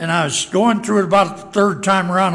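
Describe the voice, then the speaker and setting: A man speaks at a high pitch. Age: old. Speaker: pastor. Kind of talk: sermon. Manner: halting. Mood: light, self-deprecating humor. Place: church. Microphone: podium.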